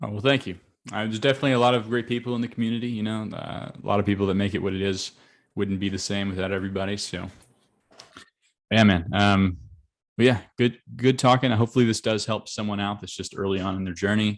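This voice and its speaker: With an American accent, a man with a fairly low pitch talks at a very fast pace. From Arkansas, US South. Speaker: agency coach, interviewer. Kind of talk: casual interview; outro to camera. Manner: upbeat.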